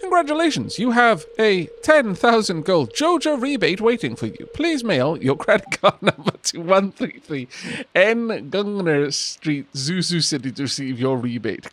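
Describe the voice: A man's put-on, robotic character voice, high-pitched for a man, with very wide pitch swings and a moderate pace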